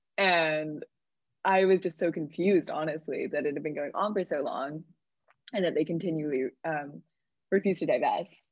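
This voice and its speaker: A woman's unremarkable speaking voice, fairly low-pitched, with fairly even intonation and a moderate pace. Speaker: college student podcast host. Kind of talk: casual interview; scripted narration.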